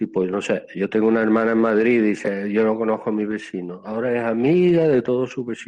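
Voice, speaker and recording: Talking at a fairly quick pace with hardly any pauses, a man uses a medium pitch and ordinary pitch variation. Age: 60s. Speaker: Buddhist monk. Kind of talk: casual chat. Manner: calm, relaxing.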